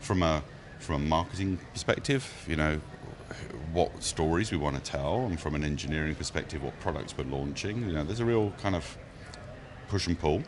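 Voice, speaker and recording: A man's very deep, low voice at a fairly quick pace, with ordinary pitch variation and audible room echo. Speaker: tech company marketing director. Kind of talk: casual podcast chat. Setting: conference recording studio. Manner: hesitant, many fillers.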